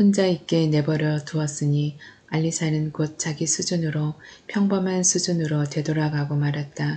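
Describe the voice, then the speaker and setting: Very deep and low in pitch, a woman speaks at a fairly slow pace with fairly even intonation. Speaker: audiobook narrator. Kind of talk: novel reading.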